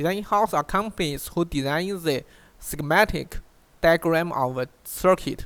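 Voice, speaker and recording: A high-pitched male voice at a fairly slow pace with ordinary pitch variation. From China. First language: Chinese. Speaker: online course instructor. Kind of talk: tutorial. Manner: halting, frequent self-repeats.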